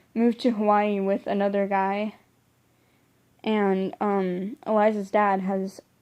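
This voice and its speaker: A woman speaks at a fairly slow pace and medium pitch with long, frequent pauses. Her intonation is monotone and flat, on a very clean recording with a silent background. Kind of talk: casual book review to camera. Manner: hesitant, many fillers and stumbles.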